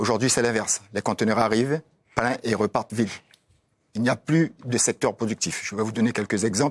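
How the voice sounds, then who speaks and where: A man talks at a fairly quick pace and medium pitch. The sound is dry and close, with no echo. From French Guiana. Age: 60s. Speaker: politician. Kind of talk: TV panel debate. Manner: animated.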